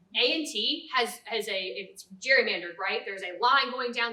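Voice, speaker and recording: Through noticeable background noise comes a woman's fairly high voice with an American accent. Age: 20s. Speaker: political party candidate. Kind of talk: candidate forum speech.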